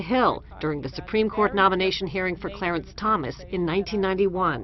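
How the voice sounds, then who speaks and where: This woman's medium-pitched voice moves at a very fast pace with ordinary pitch variation. Noticeable background noise runs underneath. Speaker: television news correspondent. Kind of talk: news report voiceover.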